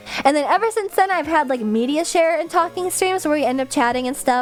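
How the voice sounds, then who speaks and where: A woman's high voice with lively intonation, a fairly quick pace and noticeable background noise. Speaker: VTuber streamer. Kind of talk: casual chat. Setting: livestream. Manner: not clearly enunciated.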